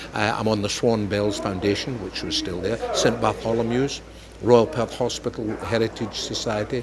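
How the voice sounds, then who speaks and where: A man with a Scottish accent speaks at medium pitch and a fairly quick pace. There is noticeable background noise. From Scotland. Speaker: comedian. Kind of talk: interview. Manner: animated.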